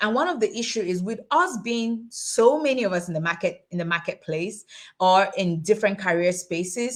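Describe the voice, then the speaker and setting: A woman talks at a moderate pace with a medium pitch. Her tone is animated and her intonation lively. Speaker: tax and finance educator, summit host. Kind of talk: online webinar presentation. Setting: livestream on social media.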